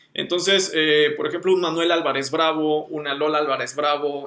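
This man speaks with a Mexican accent. His pitch is fairly high, with ordinary variation. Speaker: designer, podcast co-host. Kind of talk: casual chat.

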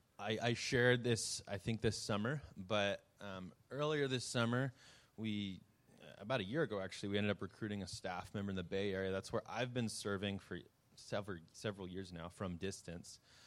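Recorded very cleanly against a silent background, a man with a normal speaking voice talks at a moderate pace in a fairly low pitch with ordinary variation. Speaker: youth ministry worker. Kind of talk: ministry update presentation.

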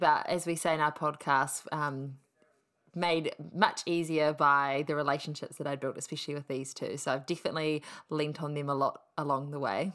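Someone speaks with a New Zealand accent at a moderate pace and with fairly even intonation. The recording is very clean and the background silent. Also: woman. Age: 20s. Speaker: podcast co-host, mother. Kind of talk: casual chat.

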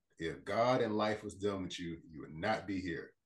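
Somewhat breathy, a man speaks with a fairly low pitch. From Port Arthur, Texas. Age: 40s. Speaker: life coach and motivational speaker. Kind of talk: casual podcast interview.

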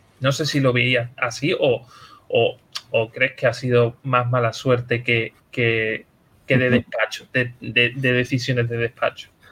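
Bright and sharp in tone, a man's voice sits at a medium pitch. He speaks very slowly in a flat monotone. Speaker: podcast host. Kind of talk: casual chat.

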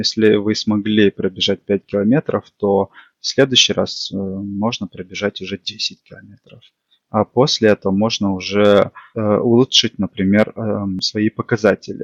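A man speaks at a fairly slow pace in a fairly low pitch. His intonation is monotone and flat, with big swings in loudness. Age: 20s. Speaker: amateur runner, tech support specialist. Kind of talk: casual interview chat.

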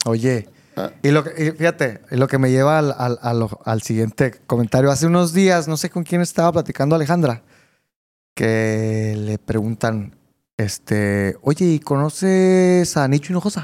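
With a plain, everyday voice, a man of fairly high pitch speaks at a fairly slow pace using lively intonation. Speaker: podcast host. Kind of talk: interview.

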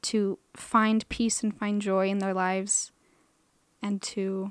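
A woman with an American accent speaks very slowly in a flat monotone, recorded very cleanly with a silent background and a dry, close sound with no echo. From Idaho, Boise. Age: 20s. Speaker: podcast host, art student. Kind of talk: personal monologue.

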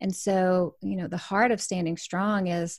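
Fairly low-pitched and dark, mellow in tone, a woman speaks at a fairly slow pace in a monotone, flat delivery on a very clean recording with a silent background. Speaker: author, speaker and business coach. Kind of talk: casual chat.

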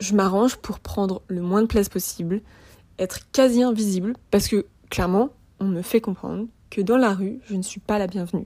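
The woman's voice is dark and mellow, of medium pitch with ordinary variation. She speaks at a moderate pace with long, frequent pauses. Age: 20s. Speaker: podcaster. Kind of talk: personal testimony.

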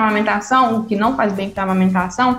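Fairly high female voice, ordinary pitch variation, audible room echo, noticeable background noise. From Minas Gerais, Brazil (Itabirito). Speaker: physiotherapist and breastfeeding consultant. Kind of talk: interview, personal story.

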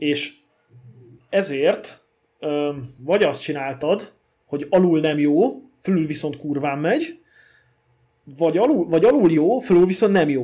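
A man's dark, mellow, fairly high voice at a fairly slow pace, with long, frequent pauses and ordinary pitch variation, in a very clean recording with a silent background. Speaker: podcast co-host about old cars. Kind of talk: casual chat.

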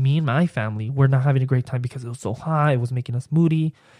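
A somewhat breathy man speaks at a very fast pace in an animated tone. The sound is dry and close, with no echo. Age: 20s. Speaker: podcaster. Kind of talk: casual solo podcast monologue, personal story. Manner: animated, excitable.

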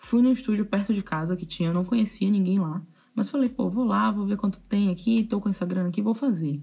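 A woman speaks at a medium pitch with a dark, mellow tone, somewhat breathy and with ordinary pitch variation. The recording is very clean, with a silent background. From Salvador, Bahia, Brazil. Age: 20s. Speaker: tattoo artist and podcast host. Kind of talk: casual solo storytelling.

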